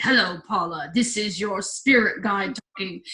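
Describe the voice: This put-on character voice is booming and fairly high-pitched. It moves at a moderate pace.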